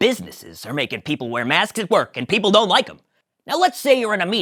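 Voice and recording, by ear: In a natural voice, someone reads aloud against a quiet background.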